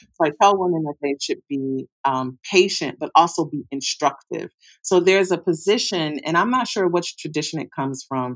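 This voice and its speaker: A woman's unremarkable speaking voice at a fairly low pitch and moderate pace, with ordinary pitch variation and hardly any pauses, in a very clean, dry, close recording with no echo and a silent background. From US Midwest, Detroit. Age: 40s. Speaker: sex educator. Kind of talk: interview.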